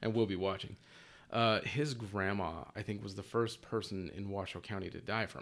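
A normal speaking voice with an American accent moves at a moderate pace and fairly even intonation in a very clean recording with a silent background. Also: man, fairly low pitch for a man. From Utah, Salt Lake City. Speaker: youtuber, coworker of host. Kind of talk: casual chat.

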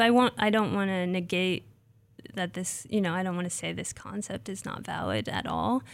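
On a very clean recording with a silent background, a woman with an ordinary speaking voice talks at medium pitch and a moderate pace with ordinary pitch variation. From Nebraska, US Midwest. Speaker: graduate student, soil scientist. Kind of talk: interview about her research. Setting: radio studio.

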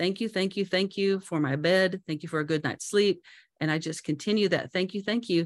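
A plain, everyday voice from a woman at a medium pitch, fairly quick in pace, with ordinary pitch variation. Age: 50s. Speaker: motivational speaker and business owner. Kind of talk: interview testimony.

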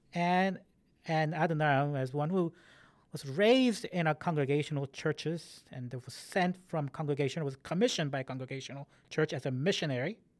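On a very clean recording with a silent background, a man with an ordinary speaking voice talks at a fairly high pitch, a moderate pace and ordinary pitch variation. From Korean-American community, US. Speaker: church history professor. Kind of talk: interview.

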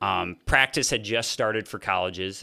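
Recorded very cleanly against a silent background, a man with an American accent speaks at a moderate pace, his fairly low pitch carrying ordinary variation and a bright, sharp tone. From Fort Wayne, Indiana, US Midwest. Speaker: college basketball coach. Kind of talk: casual podcast interview.

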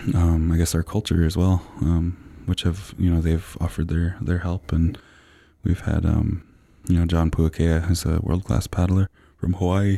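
A man talks with very deep, low pitch and fairly even intonation. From Vancouver Island First Nation, British Columbia. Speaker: war canoe racer. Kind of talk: interview. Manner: halting, many fillers.

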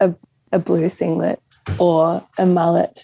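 A woman speaks in an Australian accent. Her pace is fairly slow. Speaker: singer-songwriter. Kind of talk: casual chat.

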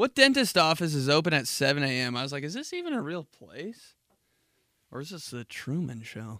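Moderately paced, a man's bright, sharp voice swings very widely in pitch on a very clean recording with a silent background. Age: 30s. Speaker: podcast host. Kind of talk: casual chat. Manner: animated.

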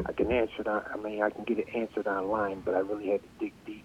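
Through noticeable background noise, a man with an American accent talks at a very fast pace in a monotone, flat intonation. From Connecticut, US. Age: 50s. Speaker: trade school graduate, former machinist. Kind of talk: interview.

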